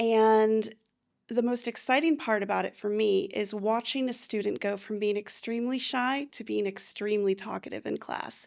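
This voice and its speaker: An ordinary speaking voice from a woman with an American accent, fairly high in pitch at a moderate pace, on a very clean recording with a silent background. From United States. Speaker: English teacher. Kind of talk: interview.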